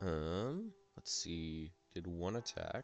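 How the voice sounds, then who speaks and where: Music is heard in the background. Over it, a man talks with ordinary pitch variation in a very deep, low voice. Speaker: gaming streamer. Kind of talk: gameplay commentary. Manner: casual, halting.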